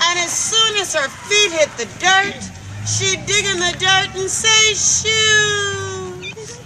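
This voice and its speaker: Over crowd noise in the background, a woman with an extremely high pitch speaks at a very slow pace in a raised, projected voice. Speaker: storyteller. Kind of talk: folk tale storytelling to children.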